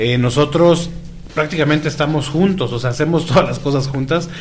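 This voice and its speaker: Against noticeable background noise and audible room echo, a man talks at a moderate pace with ordinary pitch variation. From Tijuana, Baja California, Mexico. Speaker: radio host. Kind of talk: casual chat.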